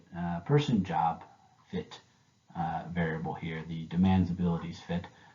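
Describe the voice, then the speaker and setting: A man speaks with a very deep, low pitch. His pace is moderate and his pitch varies in an ordinary way. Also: big swings in loudness. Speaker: graduate student presenter. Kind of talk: recorded academic presentation. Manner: hesitant, many filler words.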